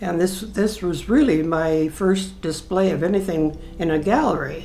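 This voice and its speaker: At a moderate pace, a woman speaks in a fairly low pitch with ordinary pitch variation, faint music playing in the background. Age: 80s+. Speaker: painter. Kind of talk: interview answer. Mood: modest, warm, gently proud. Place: home room.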